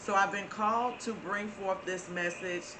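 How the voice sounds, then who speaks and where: A woman with a Southern US accent talks at a medium pitch, her intonation fairly even. The room echo is audible and there is noticeable background noise. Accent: Florida southern. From Florida. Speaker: spiritual channel host. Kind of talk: inspirational talk. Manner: casual, with many fillers.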